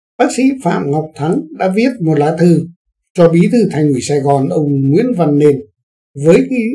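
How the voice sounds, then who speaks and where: A man's dark, mellow voice with fairly high pitch, lively intonation and a fairly slow pace against a quiet background. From Vietnam. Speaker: news commentary host; news commentator. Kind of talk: current affairs commentary. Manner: formal.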